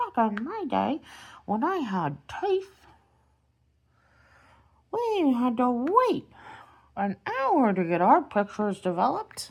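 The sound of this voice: A put-on character voice, pitched fairly high, speaks with long, frequent pauses. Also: fairly slow pace.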